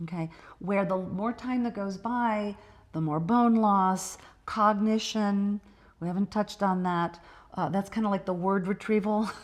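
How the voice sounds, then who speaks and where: At a fairly slow pace, a woman with a medium pitch and fairly even intonation speaks in an ordinary speaking voice. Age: 50s. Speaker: doctor, midlife health expert. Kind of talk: podcast interview.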